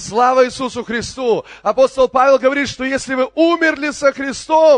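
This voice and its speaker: This man's voice sits at an extremely high pitch, animated in tone, with a dry, close sound and no echo. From Crimea (Kerch). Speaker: pastor. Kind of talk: sermon.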